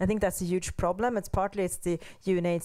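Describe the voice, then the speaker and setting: A woman with a fairly low voice talks at a fairly quick pace against a quiet background. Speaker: panelist. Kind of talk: panel discussion. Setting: seminar with audience. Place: hall. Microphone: handheld.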